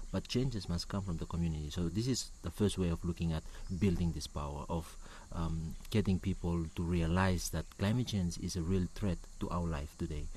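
In a Ni-Vanuatu accent, a man speaks at a fairly quick pace with a very deep, low voice, a dark, mellow and somewhat breathy tone, ordinary pitch variation and audible room echo. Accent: Ni-Vanuatu (Pacific Islander) English. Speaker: climate activist, network coordinator. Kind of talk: interview. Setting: on location at a conference. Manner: halting, many fillers and repetitions.

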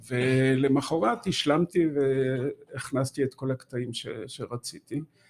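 A man is talking. The intonation he uses is fairly even. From Israel, Haifa area. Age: 70s. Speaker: author. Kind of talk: interview. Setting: studio.

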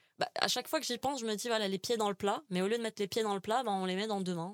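A woman's voice with ordinary pitch variation, dry and close with no echo, on a very clean recording with a silent background. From Algeria, Algiers. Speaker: communication graduate. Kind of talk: casual interview. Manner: halting, many hesitations and repeated words.

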